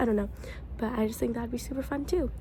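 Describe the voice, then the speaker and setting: Noticeable background noise around a woman speaking. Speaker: book vlogger. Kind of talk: casual vlog.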